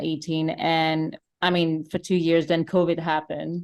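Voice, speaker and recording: A woman speaks at a moderate pace with a French accent, her pitch fairly low. The recording is very clean, with a silent background. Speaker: singer-songwriter. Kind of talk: interview.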